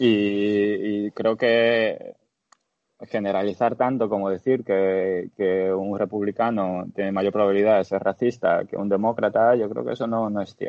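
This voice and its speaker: A man with an ordinary speaking voice at a fairly low pitch, talking at a fairly slow pace. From Dominican Republic. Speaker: podcast guest. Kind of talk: casual discussion.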